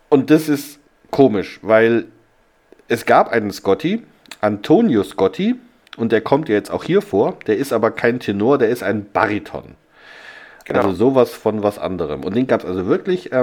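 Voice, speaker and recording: This man talks at a moderate pace with a medium pitch and lively intonation, leaving long, frequent pauses. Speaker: podcast host. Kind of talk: casual chat. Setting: hotel room.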